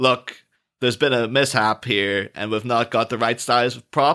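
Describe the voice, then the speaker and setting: On a very clean recording with a silent background, a man speaks at medium pitch in a bright, sharp tone. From Ireland. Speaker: podcast guest. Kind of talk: casual chat.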